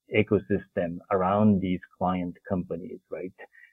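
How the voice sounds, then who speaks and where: Speaking at a fairly slow pace, a man talks with a Japanese accent. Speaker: development finance executive. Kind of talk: interview.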